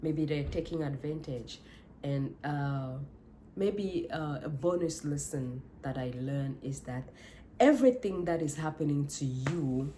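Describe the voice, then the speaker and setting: This woman has a very deep, low pitch and a dark, mellow tone. She sounds somewhat breathy and speaks with a non-native accent. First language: not English. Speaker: life coach vlogger. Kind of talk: motivational monologue. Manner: halting, with self-corrections.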